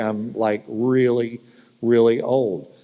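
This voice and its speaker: This man has a medium-pitched voice with a dark, mellow tone and speaks with a Southern US accent. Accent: Southern American. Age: 60s. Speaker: futurist. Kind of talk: conference keynote talk. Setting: stage with audience. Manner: animated.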